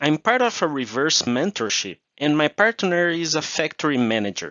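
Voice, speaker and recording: With a Portuguese accent, a man talks at a moderate pace in a fairly high pitch, his voice swinging very widely up and down. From Brazil. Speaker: procurement manager. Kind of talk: interview.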